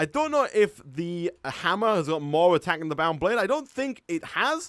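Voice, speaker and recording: The speaker has a Yorkshire accent and very wide pitch swings. The sound is dry and close, with no echo. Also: man. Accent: Northern English (Yorkshire). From northern England, North Yorkshire. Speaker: gaming streamer. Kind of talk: live stream gameplay commentary. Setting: live stream with chat. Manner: laid-back.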